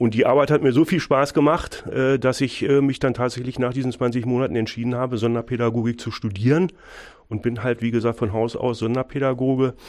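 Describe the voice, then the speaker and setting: A man talks at a fairly quick pace in a medium pitch, with fairly even intonation, against a quiet background. His is an unremarkable speaking voice. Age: 50s. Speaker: school principal. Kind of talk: radio interview.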